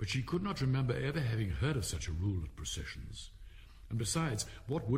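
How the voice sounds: The recording features a natural reading voice.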